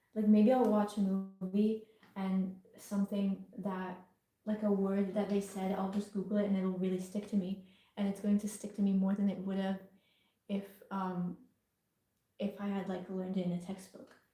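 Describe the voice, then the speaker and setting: Long, frequent pauses break up a somewhat breathy voice with a dark, mellow tone and monotone, flat intonation. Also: woman, medium pitch for a woman, moderate pace. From England. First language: Italian. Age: young. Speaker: artist. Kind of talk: casual livestream Q&A.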